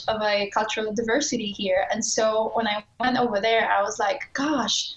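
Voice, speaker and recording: Noticeable background noise and audible room echo surround a woman speaking at a fairly high pitch. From Poland, small town. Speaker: adventure cyclist. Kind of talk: interview. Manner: halting, with hesitations and restarts.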